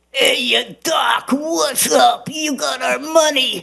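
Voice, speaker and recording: A put-on character voice shouts at a high pitch, sounding strained. The pace is very slow. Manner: gruff, confrontational.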